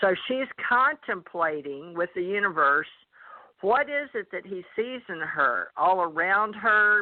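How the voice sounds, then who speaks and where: In a Southern US accent, a woman with a medium-pitched voice speaks at a fairly slow pace, her pitch swinging very widely. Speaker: psychic reader. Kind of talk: psychic reading on call-in radio.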